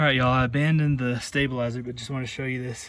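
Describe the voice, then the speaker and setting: A man at a very fast pace, monotone and flat in intonation, against noticeable background noise. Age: 30s. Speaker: outdoor vlogger. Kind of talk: casual vlog narration. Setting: outdoors.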